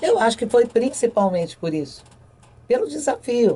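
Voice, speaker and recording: A woman's dark, mellow tone comes through at an average speaking pace. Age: 70s. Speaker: retired sports reporter. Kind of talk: interview.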